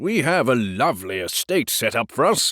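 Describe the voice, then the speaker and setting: Using a put-on character voice, a man growls at a medium pitch with very wide pitch swings, speaking at a moderate pace on a very clean recording with a silent background. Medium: read story. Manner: pompous, condescending.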